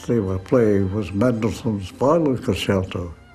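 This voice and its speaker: With music in the background, a man with a Scottish accent speaks at a fairly slow pace and a medium pitch. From Scottish Highlands. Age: 80s+. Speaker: war veteran. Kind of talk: interview answer.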